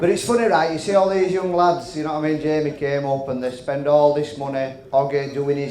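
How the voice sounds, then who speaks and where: Speaking at a fairly quick pace, a man with a Yorkshire accent has a fairly high pitch and fairly even intonation. Audible room echo and noticeable background noise are present. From West Yorkshire, England (Halifax). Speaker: comedian. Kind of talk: stand-up. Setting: stage with audience.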